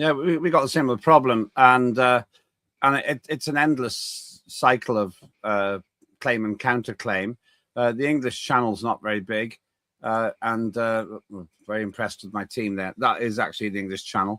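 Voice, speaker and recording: On a very clean recording with a silent background, a man speaks in a British accent at a moderate pace and medium pitch with ordinary pitch variation. His tone is bright and sharp, and the sound is dry and close with no echo. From United Kingdom. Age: 60s. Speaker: talk show host, former politician. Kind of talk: interview.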